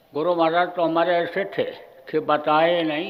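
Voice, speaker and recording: There is audible room echo around a man speaking in a high pitch. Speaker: spiritual guru. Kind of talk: sermon. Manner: forceful.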